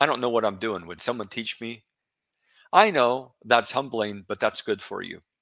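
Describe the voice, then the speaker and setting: A man talks at a medium pitch and a moderate pace, with ordinary pitch variation and big swings in loudness. His tone is bright and sharp, on a very clean recording with a silent background. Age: 60s. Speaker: bible teacher podcast host. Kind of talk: solo religious talk. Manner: casual, conversational.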